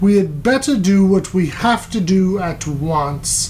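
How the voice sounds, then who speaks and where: A put-on character voice at a middle pitch moves at a fairly slow pace against clear background noise. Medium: read story. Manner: low-voiced.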